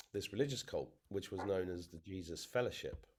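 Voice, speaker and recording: Music plays in the background. A man talks in an English accent. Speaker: interviewee. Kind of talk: testimony. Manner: halting.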